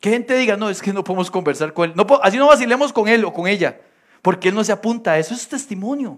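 Speaking very fast in a Costa Rican accent, a man uses a high pitch for a man, an animated tone and ordinary pitch variation. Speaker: pastor. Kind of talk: sermon.

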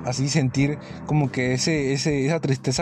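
This man has a fairly high-pitched voice. His intonation stays fairly even. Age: 20s. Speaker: podcaster. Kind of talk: casual monologue. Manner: halting, repetitive.

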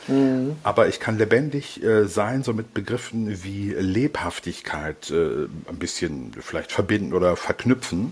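Somewhat breathy, a man speaks at a fairly slow pace with lively intonation. His pitch is fairly low. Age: 50s. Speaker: psychologist. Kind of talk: interview. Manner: hesitant, many fillers.

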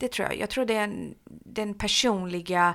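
Against a silent background in a very clean recording, the words come out at a fairly slow pace. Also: woman. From Halmstad, Sweden (born in Iran). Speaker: social services developer. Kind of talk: interview. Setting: office.

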